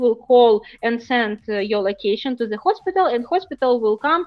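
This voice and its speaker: Her high pitch and lively intonation stand out as a woman speaks with a Ukrainian accent. She keeps a moderate pace. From Ukraine. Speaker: startup founder. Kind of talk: interview. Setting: live stream. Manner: halting, many fillers.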